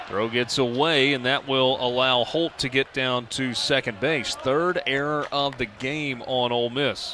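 Against noticeable background noise, a man talks at a medium pitch. His pace is fairly slow and his intonation fairly even. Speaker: baseball play-by-play announcer. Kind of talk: live sports commentary, play-by-play call.

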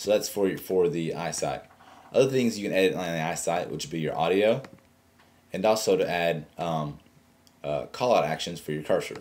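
Speaking at a moderate pace, a man uses a very deep, low pitch and lively intonation. He leaves long, frequent pauses. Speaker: tech tutorial youtuber; tech tutorial host. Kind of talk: tutorial. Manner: casual, halting with fillers. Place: home room. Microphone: webcam.

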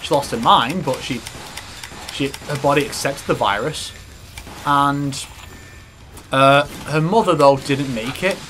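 Over noticeable background noise, a man with a fairly high pitch and ordinary pitch variation speaks at a fairly slow pace, leaving long, frequent pauses. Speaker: gaming video host. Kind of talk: casual chat while playing a video game. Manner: casual, jokey, frequent laughing and swearing.

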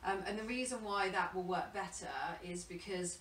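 A woman's voice comes through audible room echo and light background noise. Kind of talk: interview answer. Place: home room. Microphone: camera far.

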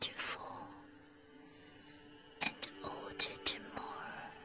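Someone is whispering in a calm tone against noticeable background noise. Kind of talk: poetry reading; ASMR. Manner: soft-spoken; calm, relaxing.

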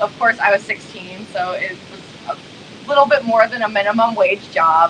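A woman talks at a moderate pace with a little noise in the background. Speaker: guest. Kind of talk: interview answer. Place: home room. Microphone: video call.

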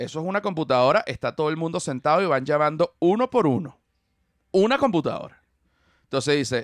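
The sound is dry, with no echo. Delivery is fairly quick, with lively intonation. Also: man, fairly high pitch for a man, quiet background. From Venezuela. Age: 40s. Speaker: comedian. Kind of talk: casual chat. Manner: animated. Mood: playful, humorous. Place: studio. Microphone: studio mic.

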